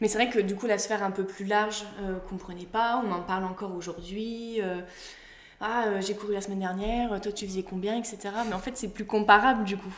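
A woman's monotone, flat intonation with audible room echo. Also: medium pitch for a woman, moderate pace. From Brittany, France. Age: 20s. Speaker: former athlete turned mental coach. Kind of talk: interview. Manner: hesitant, many fillers.

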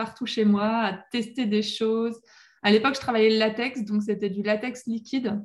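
A woman speaks at a moderate pace in a fairly high pitch. Her voice is somewhat breathy, and her intonation is monotone and flat. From western France, La Rochelle. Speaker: professional mermaid performer. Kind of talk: interview.

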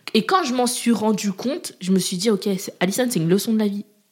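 A woman talks at a very fast pace, her pitch varying in an ordinary way. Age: 20s. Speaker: agency founder. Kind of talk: casual interview.

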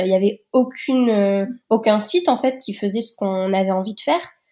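At a moderate pace, a woman talks in a fairly high voice with a dark, mellow tone and ordinary pitch variation. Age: 30s. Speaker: entrepreneur. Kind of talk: interview.

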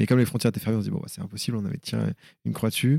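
A man's voice, dry and close with no echo. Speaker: speaker and documentary maker. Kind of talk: interview. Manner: casual, many fillers; energetic.

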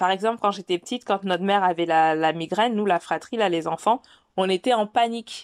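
A woman speaks at a medium pitch. Her pace is fairly quick, with ordinary pitch variation. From West African heritage. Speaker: podcast host. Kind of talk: solo podcast monologue. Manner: casual, hesitant with fillers.

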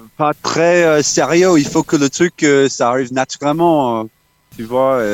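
With an Australian accent, a man talks at a fairly high pitch with ordinary pitch variation. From Australia, Townsville. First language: English (speaking French). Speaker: musician. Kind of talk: interview. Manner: halting.

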